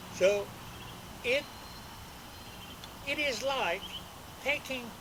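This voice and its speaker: A man's raised, projected voice at a very slow pace, over noticeable background noise. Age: 70s. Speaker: landscape architect. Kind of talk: home tour video.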